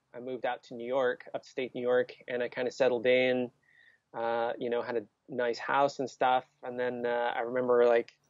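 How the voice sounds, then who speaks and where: The sound is dry with no echo. The background is quiet. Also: man. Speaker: guest. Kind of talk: interview answer. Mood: warm, reminiscing. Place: home room. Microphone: earbuds.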